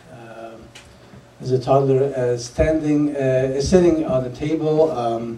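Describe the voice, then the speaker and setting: A man speaks very slowly at a medium pitch, keeping his intonation fairly even. Noticeable background noise and audible room echo surround him. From Poland. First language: Polish. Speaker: public speaker. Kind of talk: lecture. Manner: halting, many fillers.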